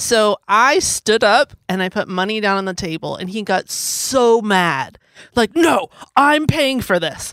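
An unremarkable speaking voice moves at a fairly slow pace with lively intonation, recorded with a dry, close sound and no echo. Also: woman, fairly high pitch for a woman. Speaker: podcast host. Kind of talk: casual chat, storytelling.

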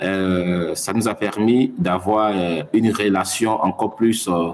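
A man's fairly low voice keeps a fairly even intonation. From Mali. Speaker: science journalist. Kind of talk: interview. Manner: halting.

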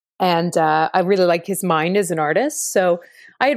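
A woman's fairly low voice with a Canadian accent and fairly even intonation, on a very clean recording with a silent background. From Ottawa, Canada. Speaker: theatre director and actor. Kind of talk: interview.

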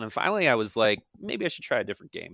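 This man talks in an American accent, his pitch swinging very widely. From US East Coast. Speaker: esports commentator. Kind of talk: casual interview chat.

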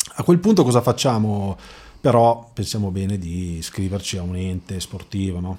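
A man's dark, mellow voice at a fairly low pitch and moderate pace, with big swings in loudness, in a very clean recording with a silent background. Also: ordinary pitch variation. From Lombardy, Milan province (Magenta, Robecco sul Naviglio). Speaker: amateur running club founder. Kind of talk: casual interview. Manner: hesitant, many fillers and repetitions.

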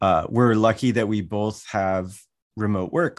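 An unremarkable speaking voice: a man with an American accent, fairly low pitch, fairly slow pace and ordinary pitch variation, in a quiet background. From US Mountain West, Wyoming. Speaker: learning educator, workshop facilitator. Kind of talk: interview conversation.

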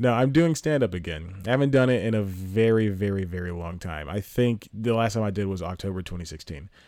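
Speech comes at a fairly quick pace with a dark, mellow tone and ordinary pitch variation. The recording is very clean, with a silent background. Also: man, fairly low pitch for a man. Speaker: podcast host and stand-up comedian. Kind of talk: casual solo monologue. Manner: loud; rambling with frequent laughs.

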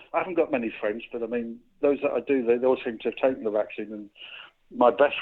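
With a slight northeast English accent, a man talks at a very fast pace using fairly even intonation. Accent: slight north-east English, almost Geordie. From County Durham, northern England. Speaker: caller. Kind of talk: casual chat. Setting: phone call.

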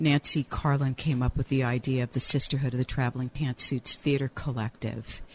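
Recorded with a dry, close sound and no echo, a woman speaks at a fairly quick pace with hardly any pauses, her very deep, low pitch somewhat breathy, her loudness very even and her intonation monotone and flat. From rural Louisiana, Cajun. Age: 60s. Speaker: playwright and college teacher. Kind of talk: casual chat.

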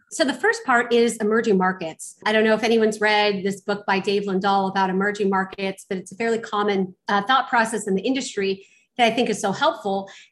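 A woman with an American accent at a medium pitch, talking at a fairly quick pace. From Los Angeles, US. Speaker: real estate investor. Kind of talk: interview.

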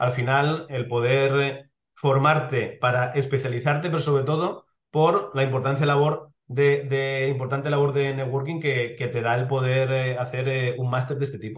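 A man of medium pitch, somewhat breathy, with monotone, flat intonation at a moderate pace. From Spain, Elche (Valencian region). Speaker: sports lawyer, club legal director. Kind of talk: interview. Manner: hesitant, with many fillers.

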